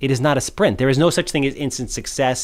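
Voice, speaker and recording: At a very fast pace, a man with a Long Island accent and a medium pitch speaks on a very clean recording with a silent background. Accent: Long Island New York. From Long Island, New York (South Shore). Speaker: podcast host. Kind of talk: podcast interview.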